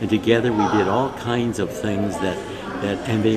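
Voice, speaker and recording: Music plays behind a man who talks at a fairly quick pace with a fairly low pitch, and the room echo is audible. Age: 70s. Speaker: student leadership speaker. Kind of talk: conference talk. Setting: conference. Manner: talkative, anecdotal.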